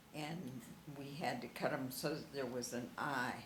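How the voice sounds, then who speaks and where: Her pitch is very deep and low for a woman. She speaks at a moderate pace with fairly even intonation. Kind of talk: interview answer.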